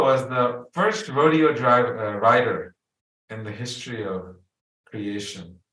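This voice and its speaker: At a fairly slow pace, a man with a non-native accent speaks at medium pitch with ordinary pitch variation. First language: not English. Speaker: spiritual teacher. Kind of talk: spiritual talk, storytelling. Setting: video call.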